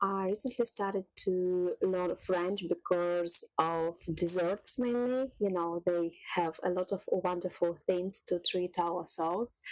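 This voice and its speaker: Her pitch medium, a woman speaks at a very slow pace with hardly any pauses and fairly even intonation. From Russia. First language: Russian. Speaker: cooking youtuber. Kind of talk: casual vlog talk.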